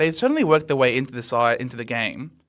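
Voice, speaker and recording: A man speaks at a fairly quick pace with an Australian accent. His pitch is fairly high, with ordinary variation. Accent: Australian, unchanged. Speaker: AFL podcast host. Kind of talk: casual sports chat. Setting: live stream.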